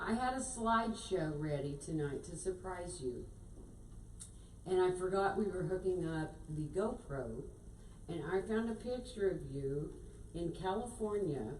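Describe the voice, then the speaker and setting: Audible room echo surrounds a woman who speaks at a fairly slow pace with lively intonation. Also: medium pitch for a woman. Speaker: piano store representative. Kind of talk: casual chat. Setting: stage with audience. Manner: loud.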